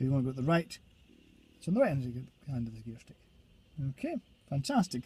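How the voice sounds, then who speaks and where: A man with a Scottish accent talks in a dark, mellow tone with lively intonation, the sound dry and close with no echo. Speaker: driving instructor trainer. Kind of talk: tutorial. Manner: fast.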